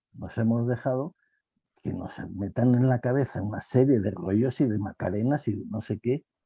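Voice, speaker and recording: Somewhat breathy and dark, mellow in tone, a man's medium-pitched voice moves at a fairly slow pace with ordinary pitch variation in a dry, close recording with no echo. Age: 70s. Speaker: panel guest in online talk. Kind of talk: panel discussion. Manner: animated, repetitive phrasing.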